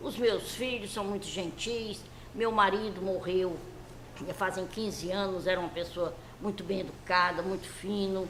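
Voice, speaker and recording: A woman's fairly even intonation in audible room echo. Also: medium pitch for a woman, fairly slow pace. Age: 80s+. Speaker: elderly interviewee recalling her life. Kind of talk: interview.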